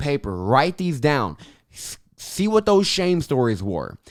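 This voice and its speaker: Over a silent background in a very clean recording, a man speaks with a fairly high pitch and an animated tone. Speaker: podcast host, life coach. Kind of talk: motivational podcast monologue. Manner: animated, emphatic.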